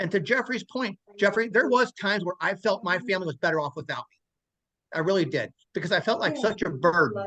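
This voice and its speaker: Man with a raised, projected, high-pitched voice, bright, sharp tone, big swings in loudness and a very fast pace, in a dry, close sound with no echo. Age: 60s. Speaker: stroke survivor. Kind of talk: testimony. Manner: halting, frequent stammers and restarts.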